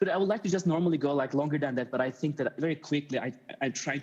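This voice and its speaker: Ordinary pitch variation marks the speech of a man with a Turkish accent. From Turkey, Istanbul. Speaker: media artist. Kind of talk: conference talk. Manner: halting.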